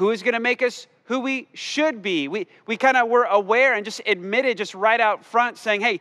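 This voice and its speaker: A man speaks in a raised, projected voice with a bright, sharp tone against a quiet background. His pace is moderate, with ordinary pitch variation. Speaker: pastor. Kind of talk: sermon. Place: church. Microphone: headset.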